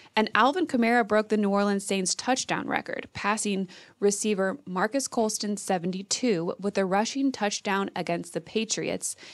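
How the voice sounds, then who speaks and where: A woman with a plain, everyday voice speaks at a medium pitch. Her pace is moderate, with ordinary pitch variation. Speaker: sports podcast host. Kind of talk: scripted narration.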